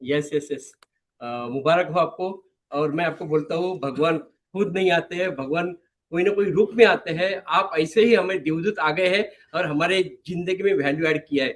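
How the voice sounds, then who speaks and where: Ordinary pitch variation runs through a man's high voice. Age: 60s. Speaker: retired direct-selling distributor. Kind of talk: thank-you testimony speech.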